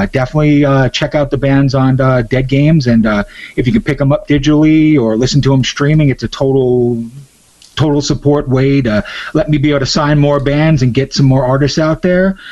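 Speaking at a fairly quick pace, a man with a fairly high pitch and a normal speaking voice keeps his loudness very even. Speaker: musician and record label owner. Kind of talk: casual interview chat. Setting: phone call interview for radio. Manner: relaxed, laid-back.

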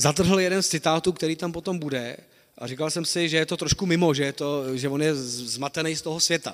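Using a normal speaking voice, a man pitched fairly high talks at a moderate tempo, his pitch moving in an ordinary way. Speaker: historian, associate professor of modern Czech history. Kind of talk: lecture. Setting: lecture hall with audience.

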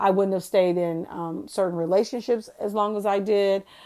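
Her intonation fairly even, a woman with a plain, everyday voice talks at a medium pitch and a moderate pace. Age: 40s. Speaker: faith podcast host. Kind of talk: casual inspirational monologue. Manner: conversational, with filler ums.

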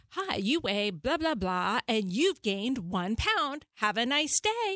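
Using a put-on, robotic character voice, a woman speaks high in pitch at a fairly slow pace, with very wide pitch swings. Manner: flat, cheerful, mechanical.

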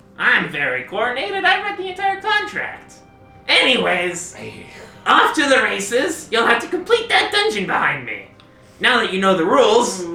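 A put-on character voice at a fairly high pitch and moderate pace, with a slight echo and faint music in the background. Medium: actual play. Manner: officious, self-important.

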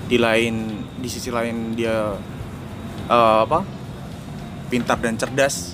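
Through noticeable background noise, a man at medium pitch speaks at a very slow pace with fairly even intonation and long, frequent pauses. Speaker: journalist. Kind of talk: casual chat.

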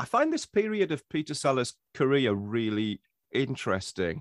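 A man speaks with an English accent at a medium pitch and a fairly slow pace. His pitch swings very widely, and the sound is dry and close with no echo. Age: 40s. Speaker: writer. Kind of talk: casual chat.

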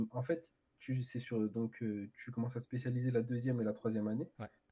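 This man's voice is somewhat breathy with a dark, mellow tone, moving at a moderate pace with fairly even intonation. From Paris area, France (Ivry). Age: 20s. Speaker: maths teacher. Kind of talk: casual chat. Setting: livestream.

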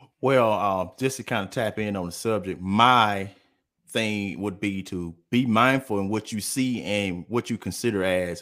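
A fairly low-pitched man's voice with an American accent, a fairly slow pace and ordinary pitch variation, in a very clean recording against a silent background. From US South, Columbus, Mississippi. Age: 30s. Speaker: businessman. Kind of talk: casual chat.

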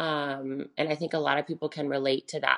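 A woman with an American accent speaks at a moderate pace, her very deep, low voice held in a monotone, flat intonation. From US South, Charlotte, North Carolina. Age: 20s. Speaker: bikini competitor and prep coach. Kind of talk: casual interview.

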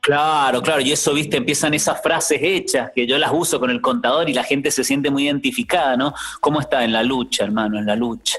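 In an ordinary speaking voice, the speaker goes at a fairly quick pace with lively intonation and hardly any pauses. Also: man, fairly high pitch for a man, very even loudness. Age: 40s. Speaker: actor and clown. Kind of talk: interview storytelling.

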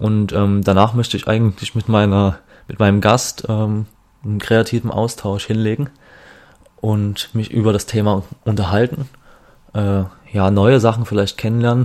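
With long, frequent pauses, a man talks at a moderate pace and fairly low pitch, his intonation monotone and flat. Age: 20s. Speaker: podcast host. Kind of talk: solo podcast intro monologue. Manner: hesitant, many filler sounds.

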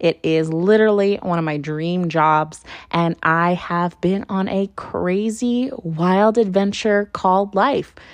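Against a quiet background, a woman at a medium pitch speaks at a very slow pace with ordinary pitch variation. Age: 20s. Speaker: podcast host. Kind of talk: personal monologue.

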